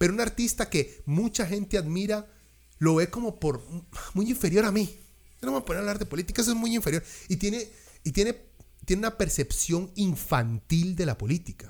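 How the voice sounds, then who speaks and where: With a Costa Rican accent and a high pitch, a man talks at a fairly quick pace in an animated tone with lively intonation, broken by long, frequent pauses. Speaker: music podcast host. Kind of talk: casual chat.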